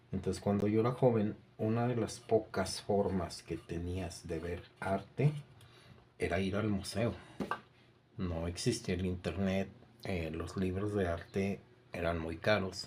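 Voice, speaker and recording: The speech moves at a fairly slow pace with long, frequent pauses. The voice is somewhat breathy. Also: man, very deep, low pitch for a man. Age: 60s. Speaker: art teacher. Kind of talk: lecture. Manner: halting.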